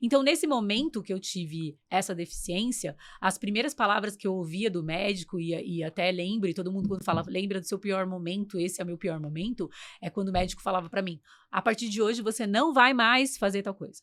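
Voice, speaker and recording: A woman speaks at a medium pitch with ordinary pitch variation and a fairly quick pace. The recording is very clean, with a silent background. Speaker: podcast host and English teacher. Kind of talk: casual interview chat. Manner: talkative.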